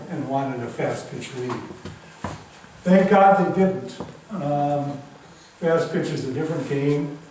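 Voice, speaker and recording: A man with a fairly high pitch and fairly even intonation speaks at a fairly slow pace, with audible room echo and noticeable background noise. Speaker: author. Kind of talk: public talk.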